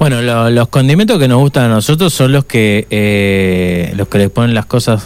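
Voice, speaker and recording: A man with a Uruguayan accent, fairly low in pitch, ordinary pitch variation, noticeable background noise. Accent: Uruguayan Spanish (rioplatense). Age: 60s. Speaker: radio host. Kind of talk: casual chat. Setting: studio.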